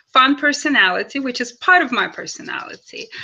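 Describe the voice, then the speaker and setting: A woman's bright, sharp tone comes through in a Russian accent. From Russia, Kaliningrad. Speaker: actress and model. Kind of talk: interview.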